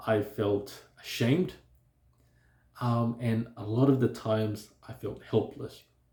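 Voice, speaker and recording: A man's very slow, somewhat breathy speech at a medium pitch, dark and mellow in tone, with fairly even intonation and long, frequent pauses. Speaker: self-help vlogger on stuttering. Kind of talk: personal talk to camera.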